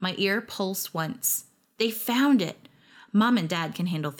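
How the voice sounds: This recording presents a natural reading voice.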